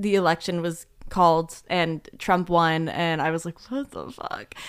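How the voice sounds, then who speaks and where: In a very clean recording with a silent background, a woman speaks in an ordinary speaking voice. Her pitch is fairly low and her pace fairly slow. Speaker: podcast co-host. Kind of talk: casual chat.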